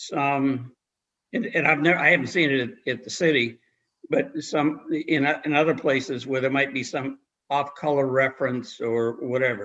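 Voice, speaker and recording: With an American accent, a man speaks in a fairly high, bright, sharp voice with ordinary pitch variation. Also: moderate pace. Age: 70s. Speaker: lawyer giving legal training. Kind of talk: legal briefing to a commission. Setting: live-streamed public meeting. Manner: halting, many repeated words.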